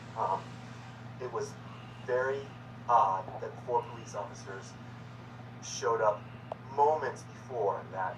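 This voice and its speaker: Noticeable background noise is present, and the room's echo can be heard as well. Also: man. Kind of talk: personal video message. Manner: halting, repeats words; agitated.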